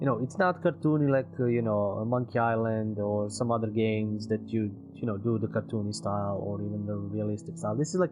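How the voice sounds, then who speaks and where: In a non-native accent, a man with a fairly low pitch talks at a fairly quick pace with hardly any pauses and ordinary pitch variation while music plays in the background. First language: not English. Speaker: gaming streamer. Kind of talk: game review commentary. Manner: hesitant, many fillers.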